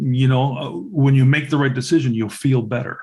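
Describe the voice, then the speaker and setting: Somewhat breathy, the man talks at a medium pitch. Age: 60s. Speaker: podcast host, Navy veteran. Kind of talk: podcast interview. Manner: hesitant, many fillers.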